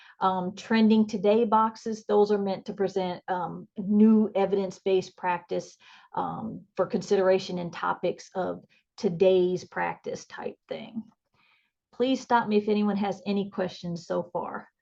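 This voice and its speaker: Speaking at a fairly slow pace, a woman uses a dark, mellow tone and monotone, flat intonation against a quiet background. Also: medium pitch for a woman. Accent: American. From northern US. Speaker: nursing educator. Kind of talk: conference presentation. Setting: video call.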